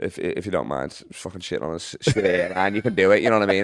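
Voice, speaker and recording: This man talks at a very fast pace. His voice is fairly low in pitch. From England, Liverpool. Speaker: comedian. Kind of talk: casual chat. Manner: speeds up when excited.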